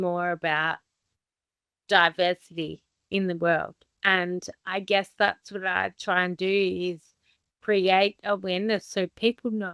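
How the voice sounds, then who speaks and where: The woman's voice sits at a medium pitch with a monotone, flat intonation and a very slow pace. The sound is dry and close, with no echo. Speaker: person living with a rare condition. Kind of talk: interview.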